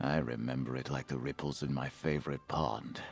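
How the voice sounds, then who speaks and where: Put-on character voice from a man at a moderate pace, faint music in the background. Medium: video game. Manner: formal, gentle.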